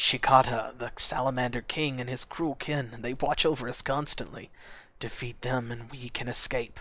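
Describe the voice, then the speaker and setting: A man performs a put-on character voice. His pitch is medium and his pace is moderate. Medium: game stream. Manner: earnest, anxious.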